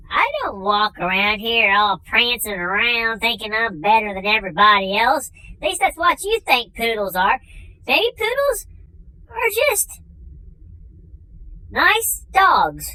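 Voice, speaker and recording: A put-on character voice, female-sounding and fairly high in pitch for a woman, at a fairly slow pace with long, frequent pauses. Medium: comedy sketch. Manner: dry, matter-of-fact.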